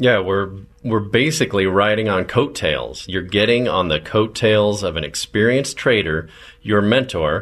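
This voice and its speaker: Moderate in pace, a man talks at a fairly low pitch with ordinary pitch variation. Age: 40s. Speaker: radio show host. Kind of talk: infomercial sales pitch. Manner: enthusiastic.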